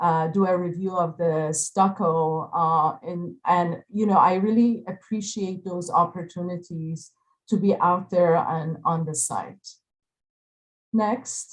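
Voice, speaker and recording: A woman with an Iranian accent speaks at a very slow pace in a fairly low, somewhat breathy voice. Her intonation stays fairly even against a quiet background. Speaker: architect. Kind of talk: panel presentation. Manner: halting, many fillers.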